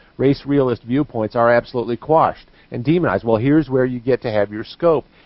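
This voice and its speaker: A man with an American accent speaks at a medium pitch. His pace is very fast and his intonation fairly even. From US Midwest, northeastern Missouri. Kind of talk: live talk radio discussion.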